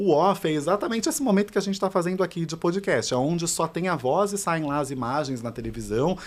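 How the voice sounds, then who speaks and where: The recording is very clean, with a silent background. A man speaks at a fairly quick pace with lively intonation. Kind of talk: podcast talk.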